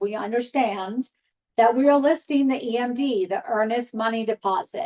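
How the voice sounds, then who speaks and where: Fairly high in pitch, a woman speaks at a moderate pace with an unremarkable speaking voice. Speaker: real estate trainer. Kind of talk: training session.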